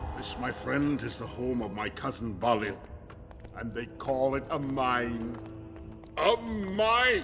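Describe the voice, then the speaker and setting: Using a put-on character voice at a medium pitch, a man speaks at a fairly slow pace with long, frequent pauses while clear music plays in the background. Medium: video game.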